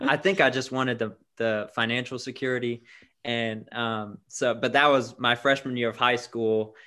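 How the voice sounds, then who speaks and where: A man with an American accent, a plain, everyday voice, medium pitch and a moderate pace. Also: fairly even intonation. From Florida (Tampa). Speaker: church worker. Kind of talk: casual interview chat.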